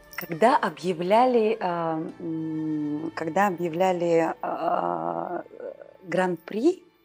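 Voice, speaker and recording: Over music in the background, a woman speaks with a fairly low pitch. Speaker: actress. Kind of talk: interview answer.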